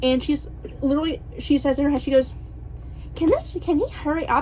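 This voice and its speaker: Noticeable background noise behind a woman talking at a fairly quick speed. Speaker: book vlogger. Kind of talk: casual vlog chat. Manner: bubbly; animated.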